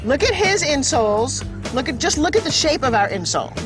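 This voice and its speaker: Fairly quick speech over music in the background. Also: woman. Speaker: television host and product presenter. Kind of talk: infomercial presentation.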